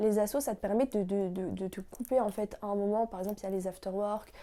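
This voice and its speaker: Her dark, mellow tone carries a fairly quick pace as this woman speaks with fairly even intonation. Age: 20s. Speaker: law student, founder of a student association. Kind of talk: interview answers, casual. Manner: hesitant, many fillers.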